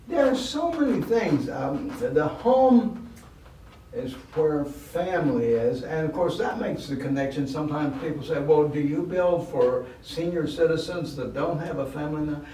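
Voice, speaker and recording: The voice of a man, fairly high in pitch, moves at a moderate pace with lively intonation. Both audible room echo and noticeable background noise are present. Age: 80s+. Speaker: charity volunteer and board member. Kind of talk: podcast interview.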